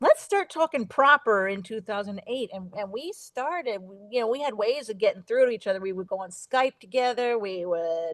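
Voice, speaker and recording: A woman with a slight New Jersey accent talks at a moderate pace in a fairly high, lively voice, with big swings in loudness, hardly any pauses, and a dry, close sound without echo. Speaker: radio host. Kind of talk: casual chat.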